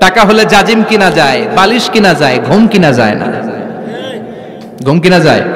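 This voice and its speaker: An animated man with ordinary pitch variation against noticeable background noise. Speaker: Islamic preacher. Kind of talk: Islamic sermon (waz) to a live audience. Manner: animated, rhetorical, audience-engaging.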